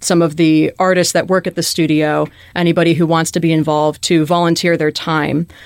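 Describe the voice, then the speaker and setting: Speaking at a moderate pace, a woman in an American accent has a fairly low pitch. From Chicago, US Midwest. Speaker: graduate student, paleontologist. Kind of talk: interview.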